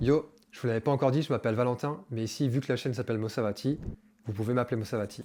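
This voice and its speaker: A man rattles along at a very fast pace in a dark, mellow tone. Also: medium pitch for a man, fairly even intonation. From France. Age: 20s. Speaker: vlogger. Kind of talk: personal vlog monologue. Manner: casual, slangy.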